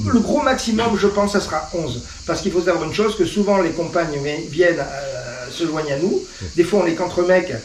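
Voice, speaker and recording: Amid noticeable background noise and audible room echo, a high-pitched man speaks at a moderate pace with ordinary pitch variation. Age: 60s. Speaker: motorcycle club founder. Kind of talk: casual interview. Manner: hesitant, many fillers.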